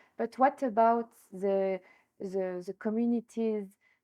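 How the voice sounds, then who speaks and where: Speaking with a French accent, a woman has a medium pitch and fairly even intonation. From France. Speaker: entrepreneur, tourism business founder. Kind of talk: interview. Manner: hesitant, with fillers.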